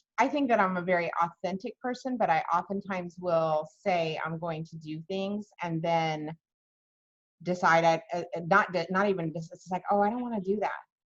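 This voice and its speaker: At a moderate pace, a woman with a fairly low voice and a plain, everyday voice speaks with ordinary pitch variation and big swings in loudness. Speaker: interview host. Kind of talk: interview.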